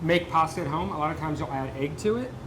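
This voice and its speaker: With an American accent, a man rattles along at a very fast pace while noticeable background noise plays behind him. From Delaware, US. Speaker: cooking show host. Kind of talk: cooking show chat. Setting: working kitchen, on set. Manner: casual, chatty.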